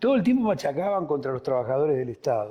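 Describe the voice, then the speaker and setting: Over a quiet background, a man with a fairly high pitch and a dark, mellow tone speaks at a fairly quick pace. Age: 60s. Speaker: political party leader. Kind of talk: political interview.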